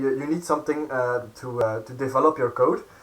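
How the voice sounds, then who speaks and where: The speaker is a man. His pitch is fairly high. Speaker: coding streamer. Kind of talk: live coding tutorial. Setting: live stream. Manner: halting, many fillers.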